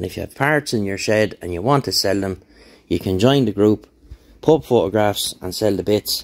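A man's fairly low voice with an Irish accent, moderate pace and ordinary pitch variation, against a quiet background. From Ireland. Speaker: YouTuber, motorbike tinkerer. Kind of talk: casual vlog update. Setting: home workshop, on camera. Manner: rambling, relaxed. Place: workshop. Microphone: phone near.

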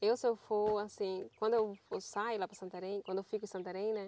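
The sound is dry, with no echo. A woman speaks at a moderate pace in a flat, monotone way. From northern Brazil (Pará). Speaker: riverside community resident. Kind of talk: casual chat. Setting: outdoors. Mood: calm, reflective. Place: waterside. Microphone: lapel.

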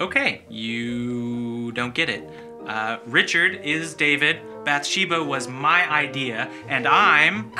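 A man talks at a very slow pace. Clear music can be heard in the background. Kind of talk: dramatic scripted speech. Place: meeting room.

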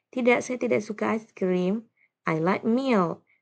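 A woman speaks with lively intonation. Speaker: primary school English teacher. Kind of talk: tutorial.

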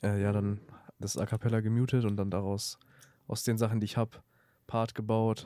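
A man speaks at a moderate pace with a dark, mellow tone and fairly low pitch, his intonation monotone and flat. Long, frequent pauses break up his speech in a very clean recording with a silent background. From Lower Saxony, Germany (Salzgitter). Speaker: beat producer. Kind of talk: casual chat.

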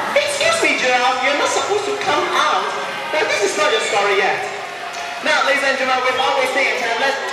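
Clear music sits in the background, along with audible room echo. A man talks at a fairly quick pace. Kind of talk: stage storytelling to an audience. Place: stage. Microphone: camera far.

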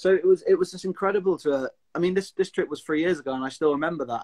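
Against a quiet background, a man with a Cumbrian accent talks at a fairly quick pace. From Lake District, England; England. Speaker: outdoor enthusiast; interview guest. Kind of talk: casual chat. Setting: video call. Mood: enthusiastic, friendly. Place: home room. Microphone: video call.

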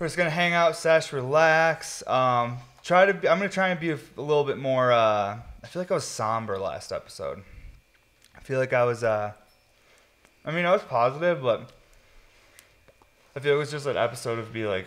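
A man with a fairly high voice talks at a fairly quick pace with lively intonation and long, frequent pauses. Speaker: podcast host. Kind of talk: casual chat. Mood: relaxed, laid-back. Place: studio. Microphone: studio mic.

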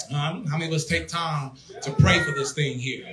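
A man talks at a moderate pace. Music plays in the background. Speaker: preacher. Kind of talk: sermon. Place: church. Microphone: handheld.

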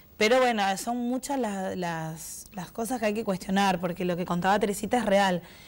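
With hardly any pauses, a woman speaks at medium pitch and ordinary pitch variation over noticeable background noise. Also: moderate pace. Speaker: president of a professional cosmetology association. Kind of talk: TV interview.

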